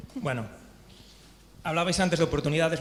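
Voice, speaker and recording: With audible room echo, a man speaks in fairly even intonation. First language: Spanish. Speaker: regional government official. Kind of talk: panel discussion. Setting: conference panel. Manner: halting.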